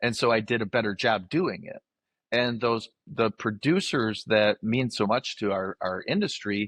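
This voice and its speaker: Against a quiet background, a man with an American accent and an ordinary speaking voice talks at a moderate pace and medium pitch, with ordinary pitch variation and a dry, close sound with no echo. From northern Michigan. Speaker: livestock auctioneer. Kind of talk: interview answer.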